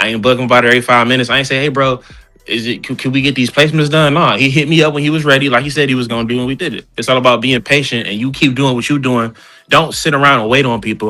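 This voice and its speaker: Music plays in the background as a man speaks very fast, his medium-pitched voice fairly even in intonation. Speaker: rapper. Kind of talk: interview answer. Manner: casual.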